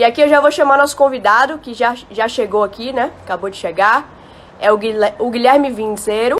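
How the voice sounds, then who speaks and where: A woman with a Bahian accent speaks at a high pitch and a moderate pace, animated in tone, with ordinary pitch variation and big swings in loudness. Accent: Bahian Brazilian Portuguese. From Bahia, Brazil. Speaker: live stream host. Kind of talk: live stream chat. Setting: Instagram live.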